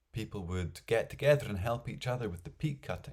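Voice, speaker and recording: A man speaks at a fairly low pitch, somewhat breathy. His pitch swings very widely. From Scotland. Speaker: storyteller. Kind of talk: folk tale storytelling.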